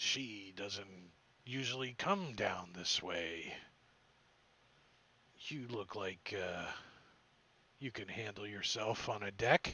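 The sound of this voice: In a put-on character voice, a man speaks at a fairly low pitch. He goes at a very slow pace, with long, frequent pauses.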